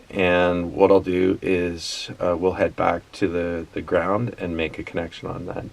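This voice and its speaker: With hardly any pauses, a man mumbles at a fairly slow pace in a very deep, low voice and a monotone, flat intonation, over noticeable background noise. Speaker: tractor repair hobbyist. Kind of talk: casual how-to talk to camera. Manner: mumbling, halting.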